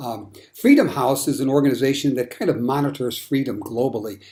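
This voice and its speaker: Recorded very cleanly against a silent background, a man speaks in a dark, mellow tone at a moderate pace. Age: 60s. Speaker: political commentator. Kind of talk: political monologue with slides. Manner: hesitant with fillers.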